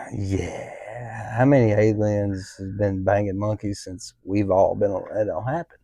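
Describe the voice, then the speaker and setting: A man's dark, mellow voice moves at a fairly slow pace with fairly even intonation while its loudness swings widely. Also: fairly low pitch for a man. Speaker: podcast co-host. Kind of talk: casual chat.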